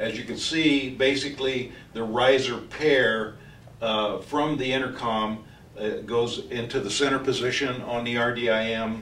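A man speaks at a fairly slow pace with a medium pitch and a fairly bright tone. His intonation is fairly even, and audible room echo surrounds him.

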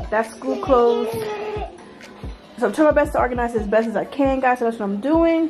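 Ordinary pitch variation at a fairly quick pace, with clear music in the background. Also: woman. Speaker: mom vlogger. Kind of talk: casual vlog chat. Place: home room. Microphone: phone near.

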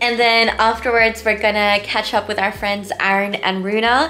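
Light background noise sits under a woman whose intonation is fairly even and whose pace is moderate. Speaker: vlogger. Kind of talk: casual vlog chat. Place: home room. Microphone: phone near.

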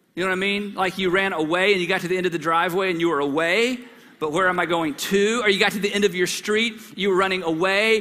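In a raised, projected voice, a man speaks very fast with fairly even intonation. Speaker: pastor. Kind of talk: sermon. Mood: warm, humorous. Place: church. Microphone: headset.

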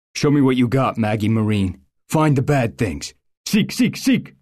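At a moderate pace, a man performs a put-on character voice at a medium pitch. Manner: commanding alpha voice.

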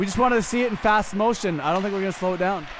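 Over noticeable background noise, the speaker races along at a very fast pace in an animated tone. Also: man. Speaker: commentator. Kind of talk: sports commentary, play-by-play of a recreational hockey game. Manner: animated, quick play-by-play calls, jokey and teasing; excitable on goals, casual banter with co-host.

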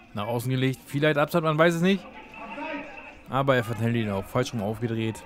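A man with a medium pitch and ordinary pitch variation speaks at a fairly quick pace, broken by long, frequent pauses. Noticeable background noise runs underneath. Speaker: sports video commentator. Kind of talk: live match commentary over highlight clips. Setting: online video voiceover. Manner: brisk, rapid-fire play-by-play with short clipped phrases; casual, enthusiastic fan tone.

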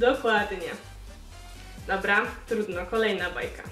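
Faint music plays behind a woman who speaks very slowly with a Silesian accent, her fairly high voice upbeat in tone amid audible room echo. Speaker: YouTube vlogger. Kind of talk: casual talk to camera, quiz vlog. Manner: upbeat, chatty. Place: home room.

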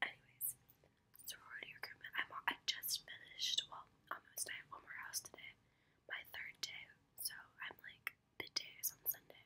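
Whispering at a moderate pace, the speaker leaves long, frequent pauses, with big swings in loudness. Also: woman. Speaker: college student vlogger. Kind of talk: casual vlog chat. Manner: soft, hushed ASMR speech close to mic. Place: home room. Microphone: phone near.

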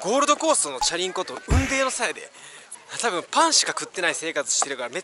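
The recording is dry, with no echo, and background noise is noticeable. A man speaks fairly quickly. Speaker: travel vlogger. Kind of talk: casual vlog chat. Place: open country. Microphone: phone near.

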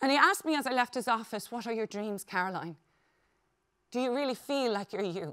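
A woman with an Irish accent, bright and sharp in tone and fairly high in pitch, at a fairly quick pace against a quiet background. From Ireland. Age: 40s. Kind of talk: conference keynote speech. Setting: stage with audience. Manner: animated. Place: stage.

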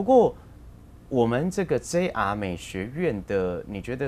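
Over light background noise, a man speaks at a fairly slow pace, his pitch swinging very widely. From Taiwan. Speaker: local TV talk show host; talk show host. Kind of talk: interview. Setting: studio. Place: studio. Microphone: lapel.

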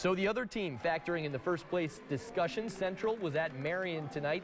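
Over noticeable background noise, a man with a high pitch talks at a fairly quick pace. His tone is animated and upbeat, with ordinary pitch variation. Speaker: sports reporter. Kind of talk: live-style sports highlights commentary over game footage. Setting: studio. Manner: animated, punchy, upbeat.

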